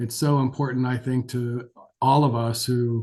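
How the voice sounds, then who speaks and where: A man with an American accent, medium in pitch, somewhat breathy and dark and mellow in tone, with monotone, flat intonation. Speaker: geriatric physician. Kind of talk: lecture. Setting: webinar. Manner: hesitant, many fillers.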